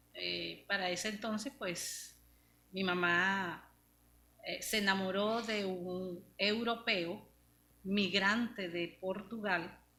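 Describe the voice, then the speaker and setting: With audible room echo, a woman speaks at a very slow pace and fairly even intonation. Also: medium pitch for a woman. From Venezuela, Maracaibo. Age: 60s. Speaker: pastor. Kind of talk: testimony.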